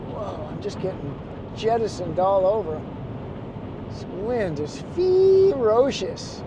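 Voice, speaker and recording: Noticeable background noise and audible room echo surround a man. He talks at a very slow pace with long, frequent pauses. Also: big swings in loudness. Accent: American. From Chicago, US Midwest. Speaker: photographer and travel vlogger. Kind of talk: casual vlog narration. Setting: in a car driving.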